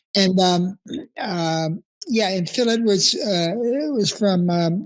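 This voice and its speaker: With a Californian accent, a man speaks at a high pitch with ordinary pitch variation. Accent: Californian American. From US West Coast (Encinitas, California). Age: 70s. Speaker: veteran surfer. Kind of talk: interview. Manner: halting, many fillers and repetitions.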